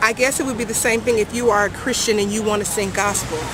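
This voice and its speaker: A woman with an American accent, fairly high in pitch and fairly quick, with fairly even intonation, noticeable background noise and audible room echo. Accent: American, sounds newly arrived in Jamaica. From California, US. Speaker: reggae artist. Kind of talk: interview.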